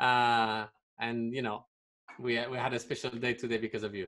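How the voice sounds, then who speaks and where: The speech is fairly slow and monotone, flat in intonation, against a quiet background. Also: man. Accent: French. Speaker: interviewer hosting an online talk for a film and art school. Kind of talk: polite, simple English as a second language. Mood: warm, thankful. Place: home room. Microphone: studio mic.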